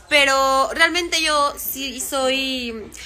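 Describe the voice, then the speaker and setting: A woman's high, raised and projected voice with an animated tone. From Mexico. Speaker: social media creator. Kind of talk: casual chat. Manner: fast. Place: home room. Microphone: phone near.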